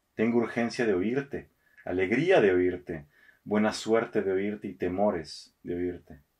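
Over a quiet background, a man speaks with a fairly low pitch and ordinary pitch variation. His pace is fairly slow. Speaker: radio host and poetry reader. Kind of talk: poetry reading, read aloud in a theatrical actor's delivery. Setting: studio recording. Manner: measured, expressive, slow and intimate. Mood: calm, intimate.

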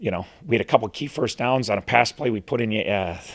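A man talks at a fast pace in a medium pitch, with vocal fry and ordinary pitch variation.

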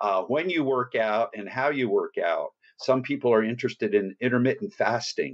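The speaker has a New Jersey accent and a moderate pace. Pitch moves in an ordinary way. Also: man. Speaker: fitness trainer and author. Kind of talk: podcast interview.

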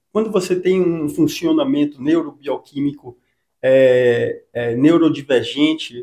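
Against a quiet background, a man talks in a dark, mellow tone at a fairly high pitch, with ordinary pitch variation. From Salvador, Bahia, Brazil; Bahia, Brazil. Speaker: psychologist and author; interviewee. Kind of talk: interview. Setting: clinic. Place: office. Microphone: handheld.

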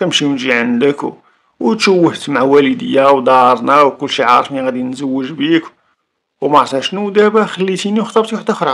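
A man's fairly high voice with a Moroccan accent, very wide pitch swings and a moderate pace. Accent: Moroccan Arabic (Darija). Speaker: YouTube storyteller. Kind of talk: storytelling narration of a crime case.

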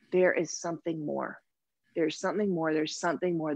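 A woman's fairly low-pitched voice at a very fast pace, dry with no echo, against a quiet background. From Toronto, Canada. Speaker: somatic therapist and energy healer; guest. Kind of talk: interview. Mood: reflective, earnest. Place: home room. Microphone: video call.

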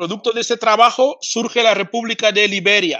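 Against a quiet background, a man projects a raised voice at a fairly slow pace, his pitch high and his tone bright and sharp. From Spain. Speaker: pan-Africanist activist and TV presenter. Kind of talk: interview lecture.

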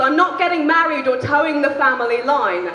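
Shouting in a raised, projected voice, a woman speaks with an English accent at a moderate pace. There is audible room echo and light background noise. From England. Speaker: spoken word poet. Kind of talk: live spoken word poetry performance. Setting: live venue. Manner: shouty. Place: stage. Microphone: handheld.

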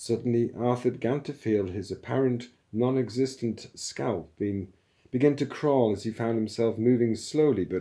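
Someone is reading aloud in a natural voice.

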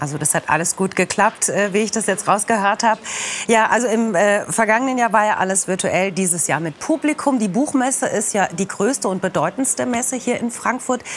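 A woman with an unremarkable speaking voice talks at a fairly quick pace and medium pitch, her intonation lively, with light background noise. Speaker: news presenter. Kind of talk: studio interview. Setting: studio with video link guest. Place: studio.

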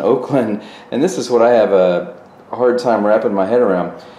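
Speech comes at a fairly slow pace, with audible room echo around it. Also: man. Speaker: fitness channel host. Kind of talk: commentary. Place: gym.

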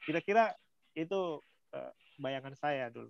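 A man with a fairly high pitch speaks at a moderate pace with ordinary pitch variation. The sound is dry with no echo against a quiet background. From Indonesia, West Sulawesi (Pambusuang coast); West Sulawesi, Indonesia. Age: 30s. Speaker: lecturer and volunteer speaker; lecturer guest. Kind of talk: online talk, sharing experience. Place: home room. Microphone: phone instead of laptop, unstable Wi-Fi; video call.

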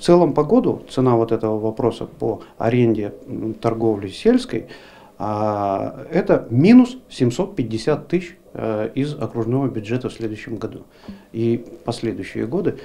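A man speaks at a fairly slow pace in a dark, mellow tone, with ordinary pitch variation over light background noise. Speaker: regional official. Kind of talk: comment at meeting. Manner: emphatic, repetitive. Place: office. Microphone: handheld.

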